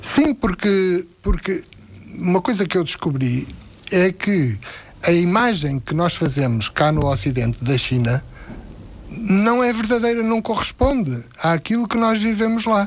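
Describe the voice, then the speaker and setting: With long, frequent pauses, a man speaks at a fairly slow pace in a high pitch with very wide pitch swings. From Portugal. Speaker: retired philosophy teacher. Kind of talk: radio interview. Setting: studio.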